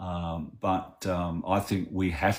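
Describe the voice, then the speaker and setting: On a very clean recording with a silent background, a man speaks in an Australian accent. His pitch is very deep and low. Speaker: activist. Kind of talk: interview.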